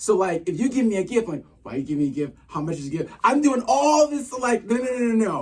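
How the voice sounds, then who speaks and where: A man with an American accent talks at a fairly quick pace with hardly any pauses, his high pitch making very wide swings. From Boston, Massachusetts (Dorchester). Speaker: dancer, photographer and podcast co-host. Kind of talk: casual interview chat. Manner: fast; loud at times.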